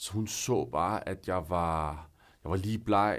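Very deep, low pitch from a man, ordinary pitch variation, and a very slow pace. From northern Zealand, Denmark. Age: 30s. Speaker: guest sharing personal story. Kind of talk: personal testimony. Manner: hesitant, many fillers.

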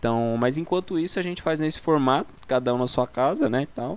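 Using an unremarkable speaking voice, a man talks in a medium pitch that varies in an ordinary way. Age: 20s. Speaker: podcast co-host. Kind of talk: casual chat. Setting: video call from home.

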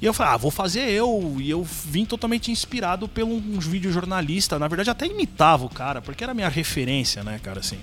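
A man's high voice with very wide pitch swings, very fast with hardly any pauses, over background music. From São Paulo, east zone (Penha). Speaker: YouTuber and video editor. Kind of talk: casual chat. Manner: halting, repeats words.

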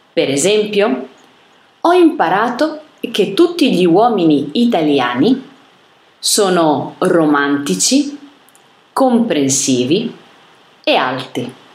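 A medium-pitched woman speaks fairly slowly, with very wide pitch swings and long, frequent pauses. Room echo is audible. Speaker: italian language reader. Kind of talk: reading aloud.

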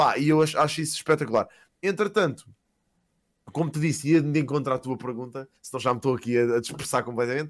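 On a very clean recording with a silent background, a man speaks at a very fast pace with a fairly high pitch and ordinary pitch variation. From Portugal, Lisbon area (Queluz/Sintra). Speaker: streamer. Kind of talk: casual chat.

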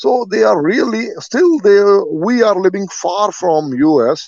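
This man speaks with an Indian accent. His pitch is high. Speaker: caller. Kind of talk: casual opinionated conversation. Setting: phone call.

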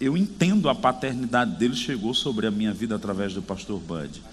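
Vocal fry and very wide pitch swings run through a voice at a moderate pace, with audible room echo. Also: man. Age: 40s. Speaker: preacher. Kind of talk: sermon. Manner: animated.

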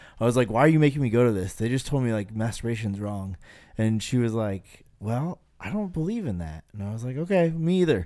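With an American accent, a man talks at a fairly quick pace in an ordinary speaking voice, medium in pitch, with lively intonation. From eastern Idaho, US. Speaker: podcast host. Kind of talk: casual chat.

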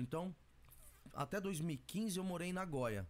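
Lively intonation marks a man's high-pitched speech. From Brazil, São Paulo east zone. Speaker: music producer and rapper. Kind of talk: casual interview.

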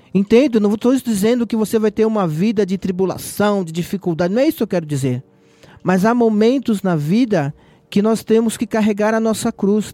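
Here a man speaks at a moderate pace in a high voice with a dark, mellow tone and ordinary pitch variation. The sound is dry and close, with no echo. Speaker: lay preacher. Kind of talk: sermon; prayer. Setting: online radio broadcast.

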